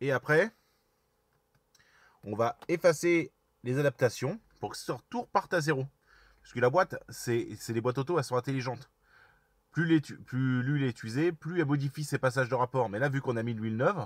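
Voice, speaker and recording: A man at medium pitch, fairly quick pace with long, frequent pauses, ordinary pitch variation and big swings in loudness, in a dry, close sound with no echo and a very clean recording with a silent background. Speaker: car mechanic youtuber. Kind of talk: tutorial.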